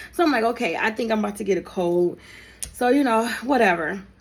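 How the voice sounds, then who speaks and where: Against noticeable background noise, a woman talks at a fairly quick pace with a fairly high pitch and lively intonation. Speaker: storyteller, content creator. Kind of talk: storytime monologue. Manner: casual, conversational; halting.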